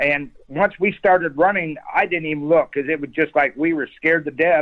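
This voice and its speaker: Speaking with an American accent and an unremarkable speaking voice, a man talks at a fairly quick pace and a fairly high pitch with ordinary pitch variation. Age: 60s. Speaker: eyewitness. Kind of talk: storytelling.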